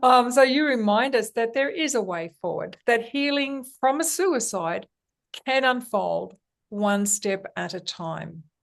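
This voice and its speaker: Against a quiet background, a woman with an Australian accent speaks at a fairly slow pace. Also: fairly high pitch for a woman, lively intonation. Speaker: podcast host. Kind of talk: interview. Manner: hesitant.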